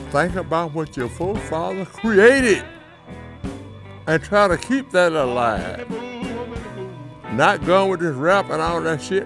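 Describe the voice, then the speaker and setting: A man speaks at a fairly slow pace, his pitch swinging very widely, with music playing in the background. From Arkansas, American South. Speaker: blues singer. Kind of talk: interview answer. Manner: blunt, profane.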